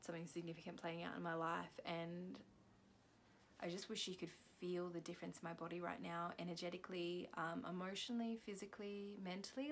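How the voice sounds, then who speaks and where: A soft-spoken woman talks at a fairly quick pace. Her pitch is fairly low with ordinary variation. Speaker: spiritual healing practitioner vlogger. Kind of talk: vlog reflection after self-guided chakra clearing. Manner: halting, many fillers.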